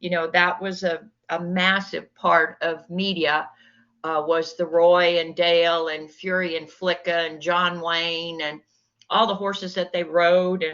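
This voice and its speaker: The delivery comes at a fairly slow pace. Its intonation is monotone and flat. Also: woman, fairly low pitch for a woman. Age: 70s. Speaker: cowgirl and businesswoman. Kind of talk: interview. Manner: hesitant, many fillers.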